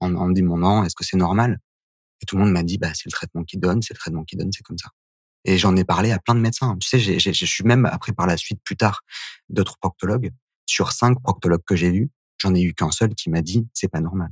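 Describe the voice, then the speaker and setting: The man's voice is very deep and low in pitch, with ordinary pitch variation. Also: fairly quick pace. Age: 30s. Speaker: HIV activist, association founder. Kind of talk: testimony.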